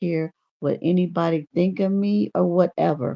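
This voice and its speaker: In a dry, close recording with no echo, a woman speaks at a moderate pace in a fairly low, dark, mellow voice with vocal fry and lively intonation. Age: 60s. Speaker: YouTube livestreamer. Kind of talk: casual livestream monologue. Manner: animated.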